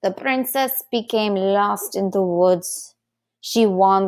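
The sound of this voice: The speaker uses an unforced reading voice. The background is quiet.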